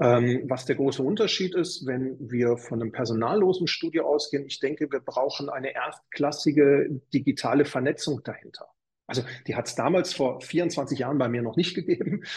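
The man's voice sits fairly high in pitch. It sounds somewhat breathy. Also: ordinary pitch variation, moderate pace. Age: 50s. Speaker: fitness studio chain manager. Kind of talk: interview.

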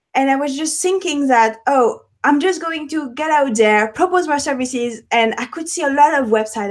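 In a French accent, a woman talks at a moderate pace with a high pitch and ordinary pitch variation. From France, Paris. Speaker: web developer and entrepreneur. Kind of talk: interview. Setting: video call. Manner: halting.

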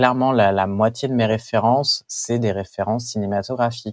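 On a very clean recording with a silent background, a man speaks at a moderate pace. His pitch is medium and his intonation fairly even. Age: 20s. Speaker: comic book artist. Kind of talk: interview. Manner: halting, with frequent repetitions.

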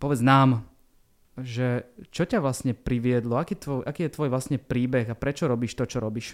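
The speaker talks at a moderate pace. The recording is very clean, with a silent background. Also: man. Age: 40s. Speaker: podcast host. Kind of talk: casual interview.

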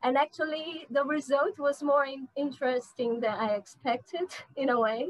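A woman's high-pitched voice with a Portuguese accent, ordinary pitch variation and a moderate pace. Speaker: literature researcher and translator. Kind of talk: interview. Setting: video call. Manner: halting.

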